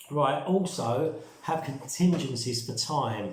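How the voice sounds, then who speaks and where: A man with a British accent speaks with ordinary pitch variation amid noticeable background noise and audible room echo. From UK. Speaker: survival and prepping vlogger. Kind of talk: casual vlog talk. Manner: fast; hesitant with fillers.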